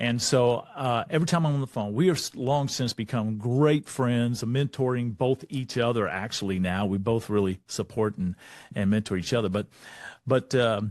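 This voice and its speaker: Against a quiet background, a man with a Texan accent speaks at a moderate pace in a medium pitch, with ordinary pitch variation. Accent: Texan American English. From Texas. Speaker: leadership speaker. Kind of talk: motivational talk.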